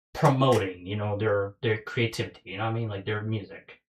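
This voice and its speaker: The voice is somewhat breathy and carries a non-native accent. The recording is very clean, with a silent background. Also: man. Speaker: podcast host. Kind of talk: casual chat.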